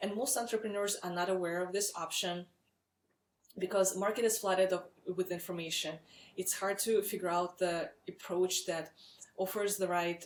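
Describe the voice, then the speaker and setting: With a Russian accent, a woman speaks at a moderate pace, medium pitch and fairly even intonation. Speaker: startup founder and CEO. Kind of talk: webinar sales pitch. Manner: frequent filler words, some hesitation.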